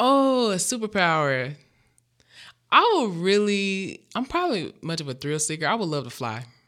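A woman speaks at a moderate pace in a medium pitch with a Memphis accent, her pitch swinging very widely. The recording is very clean, with a silent background. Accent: Southern US (Memphis). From US South, Memphis, Tennessee. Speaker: university diversity director. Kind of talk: casual interview.

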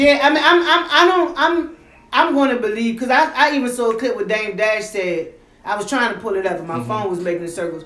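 Noticeable background noise sits behind a woman with a fairly high, animated voice. She talks at a very fast pace with very wide pitch swings. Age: 40s. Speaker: podcast host. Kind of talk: casual chat.

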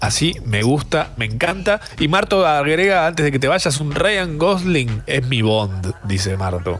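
Music plays in the background as a man speaks at a fairly slow pace. His pitch is fairly high, with very wide swings. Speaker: radio host. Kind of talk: casual chat. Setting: studio. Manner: slowed-down, relaxed pace; laughs often.

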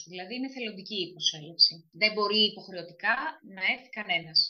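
This woman's voice is medium in pitch, an ordinary speaking voice. She talks at a fairly quick pace. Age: 40s. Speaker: social worker. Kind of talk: interview.

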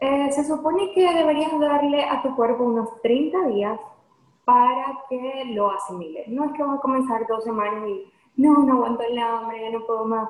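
A high-pitched woman at a moderate pace, with ordinary pitch variation and audible room echo. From Venezuela. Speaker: lawyer and nutrition coach. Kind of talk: podcast interview.

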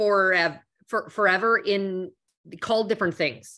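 Her tone bright and sharp, a woman speaks at a fairly slow pace. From Canada. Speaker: corporate executive. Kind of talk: interview.

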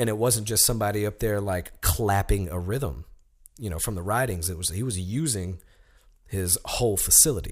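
A man speaks with a fairly low pitch and ordinary pitch variation at a moderate pace. His voice is somewhat breathy, and the recording is very clean with a silent background. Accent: American. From US South, Alabama (Sheffield). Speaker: tap dancer. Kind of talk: casual chat.

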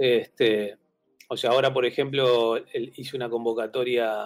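This is a man speaking. His pitch is medium. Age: 50s. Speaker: graphic designer and teacher. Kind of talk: interview. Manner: halting, many fillers and repeated words.

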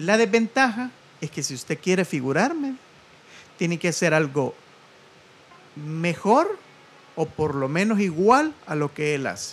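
A man with a Salvadoran accent speaks in a high pitch with very wide pitch swings. His pace is fairly slow, with long, frequent pauses. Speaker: radio host and stand-up comedian. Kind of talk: casual chat.

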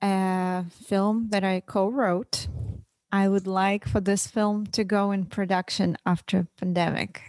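A woman with a Russian accent speaks very slowly at medium pitch. The sound is dry and close with no echo, on a very clean recording with a silent background. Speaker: comedian and actress. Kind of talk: casual interview.

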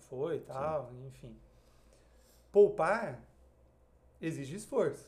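Speaking at a very slow pace, a man leaves long, frequent pauses between his words. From Brazil, Marília (São Paulo interior). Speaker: investment advisor. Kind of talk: podcast interview.

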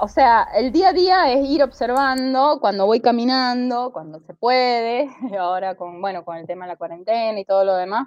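With hardly any pauses, a woman talks at a moderate pace in a fairly high pitch that swings very widely. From Venezuela, with childhood in Kansas City, US. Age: 40s. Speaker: comic artist and architect. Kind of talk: interview.

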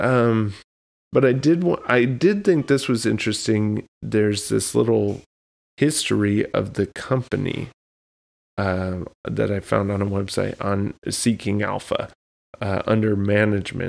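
This is an ordinary speaking voice from a man, fairly low in pitch, with ordinary pitch variation. He talks at a fairly slow pace in a very clean recording with a silent background. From Texas. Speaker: podcast host. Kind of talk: casual chat.

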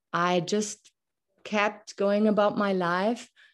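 At a very slow pace, a woman with a German accent speaks with fairly even intonation. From Germany. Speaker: podcast host. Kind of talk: interview conversation.

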